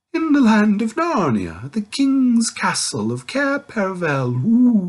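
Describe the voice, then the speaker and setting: Someone uses a put-on character voice, pitched fairly high and delivered at a fairly slow pace. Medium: read story. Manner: hooting, sleepy and muddled.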